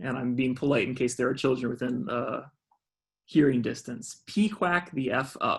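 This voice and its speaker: A man with an American accent speaks at a medium pitch, somewhat breathy, with ordinary pitch variation. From US South, Georgia. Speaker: fundraising trainer. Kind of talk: online training workshop. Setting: video call. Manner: fast.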